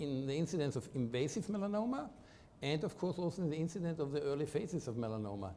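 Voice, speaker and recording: This man talks at a very fast pace in a fairly high pitch. His tone is dark and mellow, and his intonation is lively. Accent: Austrian. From Austria. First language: German. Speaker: medical researcher, professor. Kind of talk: interview. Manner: halting.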